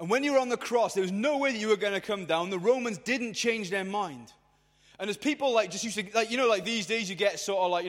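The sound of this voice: Ordinary pitch variation shapes this unforced reading voice.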